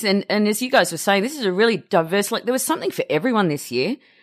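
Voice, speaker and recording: A very fast, animated woman's voice in an Australian accent, medium in pitch with lively intonation, in a very clean recording with a silent background. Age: 40s. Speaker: film podcaster. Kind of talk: casual chat.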